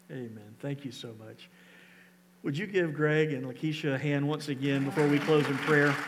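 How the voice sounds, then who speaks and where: A man at a moderate pace, fairly high pitch, fairly even intonation and big swings in loudness, with crowd noise in the background. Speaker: pastor. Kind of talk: church service conversation with a guest. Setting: church.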